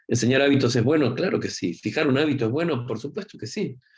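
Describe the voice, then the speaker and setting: This man talks in a Rioplatense accent at a fairly high pitch. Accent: Argentine Rioplatense Spanish. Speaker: university professor. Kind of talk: lecture. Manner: fast; informal, conversational.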